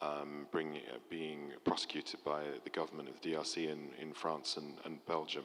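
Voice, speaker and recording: A man's very deep, low voice in a European accent, flat and monotone at a moderate pace with hardly any pauses, against noticeable background noise. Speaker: mining industry panelist. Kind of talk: panel discussion. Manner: halting, many fillers and restarts.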